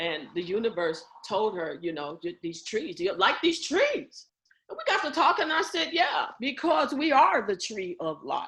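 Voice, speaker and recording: Speaking in an animated tone at a moderate pace, a woman with a high pitch moves through very wide pitch swings. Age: 70s. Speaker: community group leader. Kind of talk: group meeting talk.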